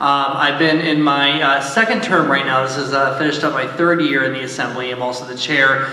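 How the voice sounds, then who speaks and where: Fairly quick speech with fairly even intonation comes through with audible room echo and light background noise. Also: man. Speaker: panelist. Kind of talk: self-introduction to audience. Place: stage.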